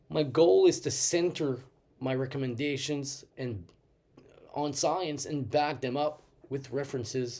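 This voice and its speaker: His tone is dark and mellow. The man takes a fairly slow pace. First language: French. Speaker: doctor and nutrition educator. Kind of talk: casual talk to camera, unscripted. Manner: some hesitations and fillers.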